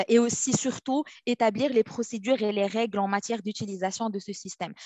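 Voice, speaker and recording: The woman's medium-pitched voice moves along at a moderate pace. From Morocco. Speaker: legal operations specialist. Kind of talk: interview. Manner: halting.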